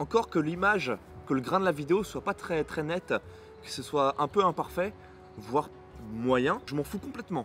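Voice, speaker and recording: Music plays in the background as a man speaks. His fairly high pitch swings very widely. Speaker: booktuber. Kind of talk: casual vlog monologue. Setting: outdoors in the sun. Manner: fast, mumbles words at times.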